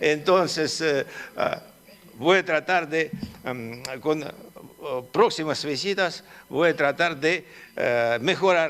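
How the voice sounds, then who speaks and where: A man with a non-native accent, fairly high pitch and ordinary pitch variation, at a very slow pace with long, frequent pauses, amid noticeable background noise. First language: Russian (speaking Spanish). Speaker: politician. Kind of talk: conference talk. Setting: conference hall with audience. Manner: halting, many fillers.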